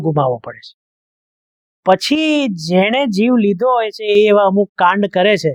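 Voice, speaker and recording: A man's lively intonation comes through a dry, close sound with no echo. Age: 50s. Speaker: film reviewer. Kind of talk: monologue film review.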